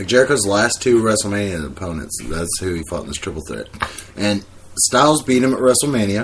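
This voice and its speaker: A man speaks at a fairly low pitch and fairly quick pace with lively intonation and big swings in loudness. Noticeable background noise runs underneath. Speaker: wrestling podcast co-host. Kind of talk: casual chat. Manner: soft-spoken.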